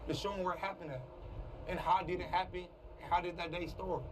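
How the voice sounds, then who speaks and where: A man talks at a very fast pace in a high voice. Noticeable background noise runs underneath. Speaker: content creator, shooting survivor. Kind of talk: emotional testimony. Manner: halting, voice cracking.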